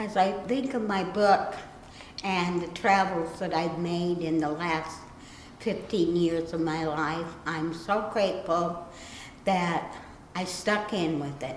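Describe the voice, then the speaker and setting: With audible room echo and noticeable background noise, a woman speaks very slowly in a fairly low pitch with ordinary pitch variation. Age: 60s. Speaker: self-published author. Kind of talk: interview talk. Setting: library.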